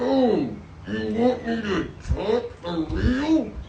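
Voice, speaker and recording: In a cartoonish character voice, the speaker talks very slowly at a fairly high pitch, with a slight echo. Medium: puppet.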